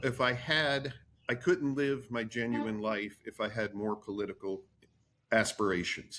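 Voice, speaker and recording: A man with an American accent speaks at a moderate pace in an unremarkable speaking voice, his pitch varying in an ordinary way. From New Jersey. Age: 60s. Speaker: attorney. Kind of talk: podcast interview.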